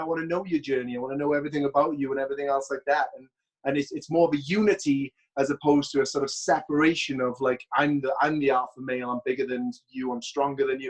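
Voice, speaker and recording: Very fast speech with a Welsh accent and fairly even intonation. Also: man. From Wales. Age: 30s. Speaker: bodybuilder and former pro wrestler. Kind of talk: casual interview chat. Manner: hesitant, repeats words.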